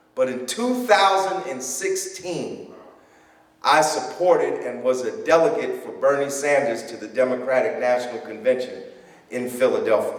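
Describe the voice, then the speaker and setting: A man with an American accent speaks at a moderate pace with big swings in loudness, amid noticeable background noise and audible room echo. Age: 60s. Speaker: political candidate. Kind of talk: campaign speech. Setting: church.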